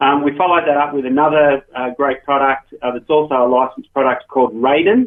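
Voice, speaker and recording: Speaking very fast with hardly any pauses, a man uses a fairly high pitch and fairly even intonation. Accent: Australian. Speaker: gaming company founder. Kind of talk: radio interview. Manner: many fillers (um, uh).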